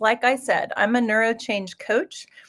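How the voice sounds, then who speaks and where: With a Midwestern US accent, a woman talks in a fairly high pitch. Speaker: executive coach. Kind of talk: live webinar presentation. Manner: hesitant, many fillers.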